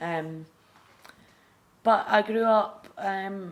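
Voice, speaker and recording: A woman with a Scottish accent. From Scotland. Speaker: recovering addict sharing her story. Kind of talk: testimony. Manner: halting, many fillers.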